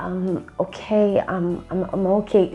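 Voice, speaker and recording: Doing a put-on character voice, a woman speaks shakily at a fairly slow pace and medium pitch over clear background noise. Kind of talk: hesitant with filler words. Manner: shaky and reserved.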